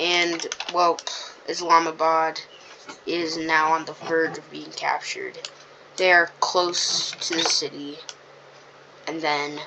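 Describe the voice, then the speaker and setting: The voice is quiet and very slow, broken by long, frequent pauses. Noticeable background noise sits underneath. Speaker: mapping video narrator. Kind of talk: casual commentary over map. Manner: halting, many fillers.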